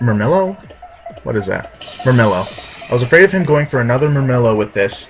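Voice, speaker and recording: Over background music, a man with a medium-pitched voice speaks in an animated tone, leaving long, frequent pauses. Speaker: video game commentator. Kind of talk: gameplay commentary. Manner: halting, self-correcting; casual, animated.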